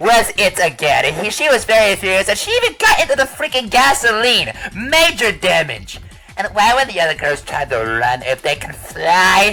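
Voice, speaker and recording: This put-on character voice sits at a fairly high pitch. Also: moderate pace. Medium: machinima. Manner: teasing, blunt.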